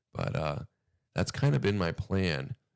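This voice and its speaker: A man with vocal fry talks at a moderate pace in a very clean recording with a silent background. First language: Spanish. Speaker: livestreamer. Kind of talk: casual chat.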